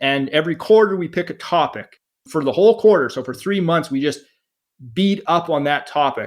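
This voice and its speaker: A man's loud, high voice moves at a moderate speed. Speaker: veterinarian and real estate investor. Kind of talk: podcast interview. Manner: animated.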